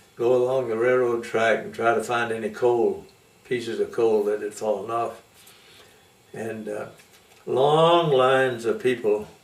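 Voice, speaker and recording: A man with an American accent speaks at a fairly slow pace in a medium pitch, with ordinary pitch variation, long and frequent pauses, and noticeable background noise. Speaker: Methodist preacher; storyteller. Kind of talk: interview answer.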